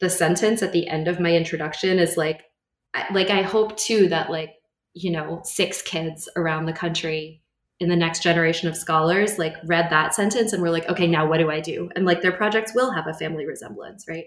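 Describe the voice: Fairly low-pitched and with an American accent, a woman talks at a fairly quick pace with fairly even intonation.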